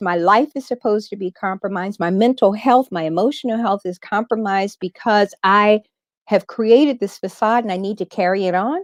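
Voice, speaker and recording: With an American accent, a woman talks at a moderate pace in a fairly high pitch, with an animated tone and ordinary pitch variation. The sound is dry and close with no echo, over a quiet background. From US Midwest (southern Indiana). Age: 60s. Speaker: radio personality. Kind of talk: interview.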